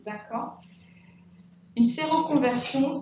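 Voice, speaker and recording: The speech has lively intonation. Audible room echo and noticeable background noise surround it. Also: woman. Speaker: nursing school instructor. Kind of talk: lecture.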